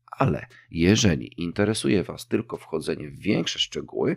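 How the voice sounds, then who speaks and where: Recorded very cleanly against a silent background with a dry, close sound and no echo, a man speaks at a moderate pace with lively intonation and vocal fry. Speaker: podcast host. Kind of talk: solo podcast monologue.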